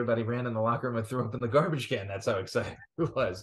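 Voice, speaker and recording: The surroundings are quiet. A man talks, his intonation fairly even. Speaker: podcast co-host. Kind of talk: sports commentary chat. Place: home room. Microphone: video call.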